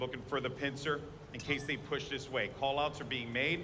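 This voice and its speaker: With a fairly high pitch, a man talks at a moderate pace. There is noticeable background noise and audible room echo. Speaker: esports caster. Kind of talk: live commentary. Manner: loud.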